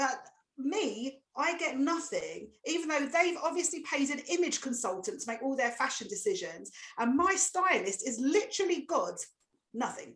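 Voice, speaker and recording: With an Essex accent, this voice moves at a moderate pace through very wide pitch swings. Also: woman, high pitch for a woman. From Essex, England. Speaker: comedian. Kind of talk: stand-up. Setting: video call.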